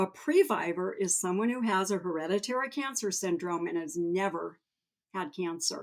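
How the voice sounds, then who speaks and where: A woman talks at a moderate pace in medium pitch with ordinary pitch variation, an ordinary speaking voice. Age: 60s. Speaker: cancer previvor and patient advocate. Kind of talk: podcast interview, personal testimony.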